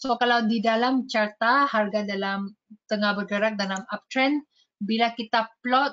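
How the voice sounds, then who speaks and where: Intonation stays fairly even in this voice with a Malaysian accent. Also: woman. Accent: Malaysian accent in Indonesian. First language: Malay or English (speaking Indonesian). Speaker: trading educator. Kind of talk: webinar tutorial. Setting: online webinar. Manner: code-switching, many fillers.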